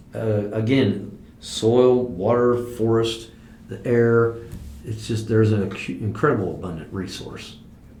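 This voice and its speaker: A man with an American accent, medium pitch, fairly even intonation and a fairly slow pace, in a room with audible echo. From US Midwest (southwest Ohio). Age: 60s. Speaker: farmer. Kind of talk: oral history interview. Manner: hesitant, with many fillers and repeats.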